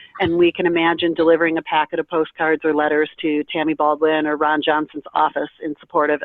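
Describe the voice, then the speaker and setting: Over background music, a woman with a very deep, low voice talks very fast in a flat monotone, barely pausing at all. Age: 50s. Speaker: kidney transplant recipient and advocate. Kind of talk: presentation on a conference call.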